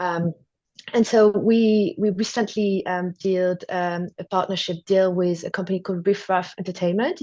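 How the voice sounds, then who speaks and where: A woman with a French accent, dark and mellow in tone, fairly even in intonation, at a moderate pace over a quiet background. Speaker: TV acquisitions executive. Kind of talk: interview.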